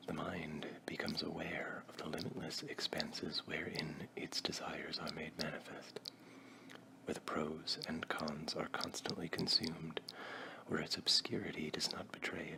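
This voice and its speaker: A man whispering at a moderate pace against noticeable background noise. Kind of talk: ASMR reading. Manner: soft-spoken.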